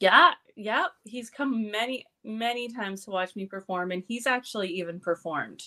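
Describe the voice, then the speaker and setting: A woman with a Canadian accent, fairly high-pitched and bright, sharp in tone, with lively intonation, a moderate pace and hardly any pauses. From Canada, small town in Alberta. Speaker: pro wrestler and burlesque dancer. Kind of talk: casual interview chat.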